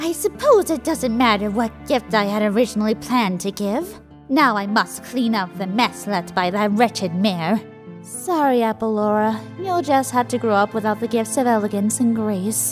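Over clear music in the background, a female-sounding put-on character voice of medium pitch speaks at a moderate pace in a dramatic tone. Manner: refined, dramatic.

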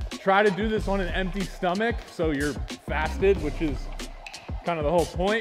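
Over clear music in the background, a man speaks at a high pitch with ordinary pitch variation. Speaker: fitness coach. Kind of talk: tutorial. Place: gym.

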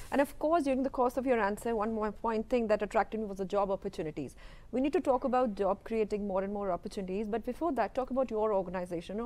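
A woman speaks very fast in an Indian accent. Her pitch sits fairly high, with ordinary variation. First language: Hindi. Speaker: TV news presenter. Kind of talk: interview. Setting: TV studio. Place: studio. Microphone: lapel.

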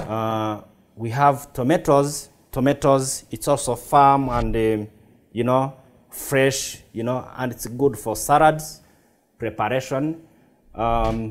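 The man speaks at a very slow pace. His intonation is fairly even. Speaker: chef instructor. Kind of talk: tutorial. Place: kitchen.

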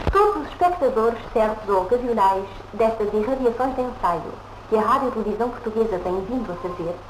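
Noticeable background noise sits behind a woman with a fairly high pitch. She talks at a fairly quick pace with ordinary pitch variation. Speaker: continuity announcer. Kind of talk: 1950s television announcement, formal broadcaster read. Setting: vintage broadcast recording. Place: studio.

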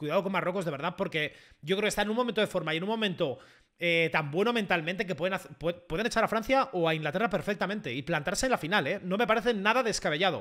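With a Spanish accent, a man speaks at a high pitch and a very fast pace in a bright, sharp, animated tone, with ordinary pitch variation over a quiet background. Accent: Spain Spanish (peninsular). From Spain. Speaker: YouTuber / football streamer; YouTuber, football streamer. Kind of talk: live match reaction to chat. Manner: animated, excitable. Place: home room. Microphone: studio mic.

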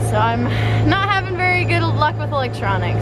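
A woman at a moderate pace, with loud background noise behind her. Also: dry sound with no echo. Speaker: sailing vlogger. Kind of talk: casual vlog chat. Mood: rueful, laughing at bad luck. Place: boat. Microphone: phone near.

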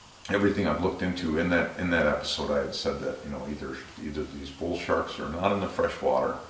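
A man talks at a very fast pace. Audible room echo and light background noise surround his voice. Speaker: shark channel host. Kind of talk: casual vlog chat. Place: home room.

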